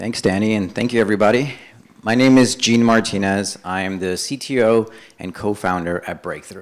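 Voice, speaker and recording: An ordinary speaking voice, a man with an American accent talks at a moderate pace and fairly low pitch, with fairly even intonation. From New York City, from age five; born Dominican Republic. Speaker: startup co-founder and CTO. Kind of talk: startup pitch presentation. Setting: stage with audience.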